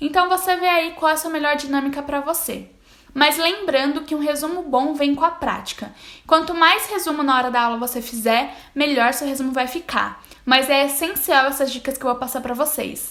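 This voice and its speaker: The voice has a bright, sharp tone, ordinary pitch variation, and a moderate pace. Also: woman, high pitch for a woman. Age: 20s. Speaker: university student and study vlogger. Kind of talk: tutorial.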